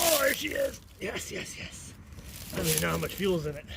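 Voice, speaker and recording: At a fairly quick pace, a man speaks amid noticeable background noise and audible room echo. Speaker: DIY mechanic vlogger. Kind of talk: casual vlog narration outdoors. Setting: outdoors in the woods. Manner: animated.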